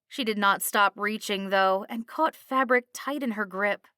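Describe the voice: The speech is plain reading aloud with ordinary pitch variation.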